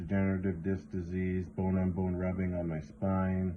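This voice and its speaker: A man speaks with a western Canadian accent in a very deep, low pitch. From western Canada. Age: 40s. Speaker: vlogger. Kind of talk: casual vlog talk.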